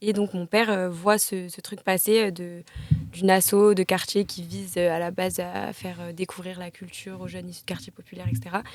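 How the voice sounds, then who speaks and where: A woman with a medium pitch speaks at a fairly quick pace with fairly even intonation. Her loudness swings widely over noticeable background noise. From southern France, near Marseille. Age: 20s. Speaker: actress. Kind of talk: casual chat.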